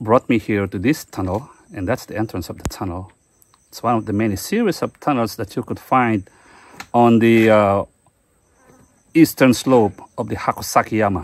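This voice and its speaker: Speaking at a moderate pace with long, frequent pauses, a man shows big swings in loudness and ordinary pitch variation, recorded with a dry sound and no echo. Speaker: history explorer vlogger. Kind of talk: casual vlog commentary. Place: forest. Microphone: phone near.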